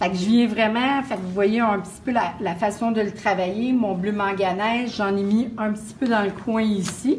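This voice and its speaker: A woman in a Quebec accent speaks at a moderate pace with hardly any pauses, her pitch fairly high and intonation fairly even. Light background noise is present. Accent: Québécois French. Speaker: painting instructor; painting teacher. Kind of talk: live painting demonstration; tutorial. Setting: live stream at open house. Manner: hesitant, many fillers. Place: classroom.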